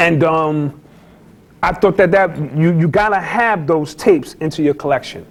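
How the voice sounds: Speaking slowly-ish, a man with a Bronx accent uses a fairly high pitch at a fairly slow pace. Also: ordinary pitch variation. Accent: New York, Bronx.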